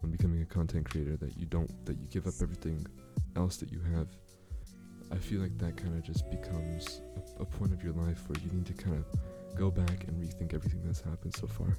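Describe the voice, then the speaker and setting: Music plays in the background as a man with a very deep, low pitch talks at a fairly quick pace with ordinary pitch variation. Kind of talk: casual talk to camera.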